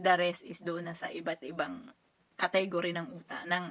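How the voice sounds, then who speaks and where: A woman speaks in an ordinary speaking voice at a medium pitch. Her pace is fairly slow. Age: 30s. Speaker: overseas worker vlogger. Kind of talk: casual advice vlog.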